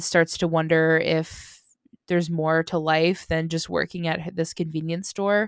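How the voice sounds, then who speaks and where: On a very clean recording against a silent background, the words come at a fairly slow pace. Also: woman. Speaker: podcast host. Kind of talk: casual chat.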